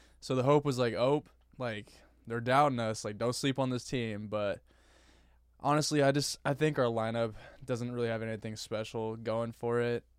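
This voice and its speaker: Here is a man with a plain, everyday voice at medium pitch. His intonation stays fairly even. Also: moderate pace. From Northern California. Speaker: sports podcast co-host. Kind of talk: casual chat.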